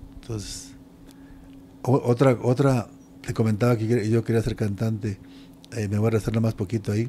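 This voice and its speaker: The speech moves at a moderate pace with fairly even intonation and long, frequent pauses. Light background noise can be heard. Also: man, medium pitch for a man. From Mexico. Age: 60s. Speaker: retired pro wrestler; interviewee. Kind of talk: interview. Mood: reflective, warm. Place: home room. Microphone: handheld.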